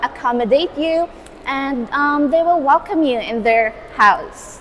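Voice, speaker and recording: Over noticeable background noise, a woman with a Visayan Filipino accent speaks at a fairly slow pace with ordinary pitch variation. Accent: Filipino (Cebuano) English. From Philippines, Cebu. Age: 20s. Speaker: university student. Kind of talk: street interview. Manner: hesitant, many fillers.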